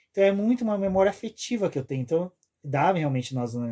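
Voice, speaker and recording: On a very clean recording with a silent background, a man talks at a very fast pace with lively intonation and a dark, mellow tone. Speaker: podcast host. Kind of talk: casual chat.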